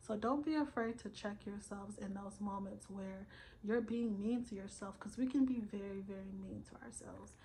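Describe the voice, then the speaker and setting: A woman speaks at a moderate pace in a medium pitch, her somewhat breathy voice carrying a dark, mellow tone. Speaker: self-help vlogger. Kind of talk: motivational vlog monologue. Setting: recorded at night, solo video. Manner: casual, filler-heavy.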